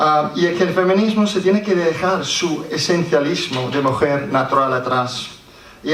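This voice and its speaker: Someone with an English accent speaks at a fairly slow pace with ordinary pitch variation, amid noticeable background noise and audible room echo. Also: man. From Scotland. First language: English (speaking Spanish). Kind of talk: conference talk read aloud. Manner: halting, with restarts.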